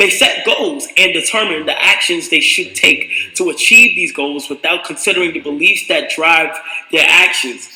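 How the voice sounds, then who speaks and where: A man speaks at a moderate speed as noticeable noise fills the background. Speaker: streamer. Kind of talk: reading aloud. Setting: live stream. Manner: halting.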